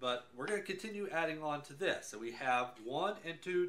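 Bright and sharp in tone, a man's voice moves at a moderate pace. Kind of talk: tutorial. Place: workshop. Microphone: camera far.

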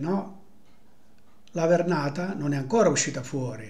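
Speaking at a fairly slow pace, a man uses a high-pitched voice. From Apulia, Italy. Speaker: storyteller of local sayings. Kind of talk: folk tradition storytelling. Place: home room. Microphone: webcam.

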